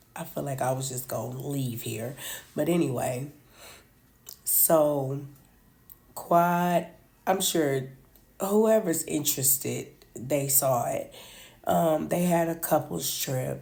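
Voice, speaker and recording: With a very deep, low pitch and a dark, mellow tone, a woman speaks at a very slow pace with vocal fry, ordinary pitch variation, long, frequent pauses and audible room echo. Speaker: reality TV commentator. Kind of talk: casual chat.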